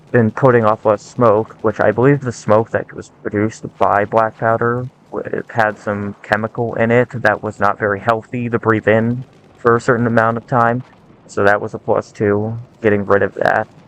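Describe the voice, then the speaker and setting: At a moderate pace, a man speaks in a medium pitch with monotone, flat intonation and a dry, close sound with no echo. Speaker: gaming and weapons video creator. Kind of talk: scripted monologue. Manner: stuttering; halting.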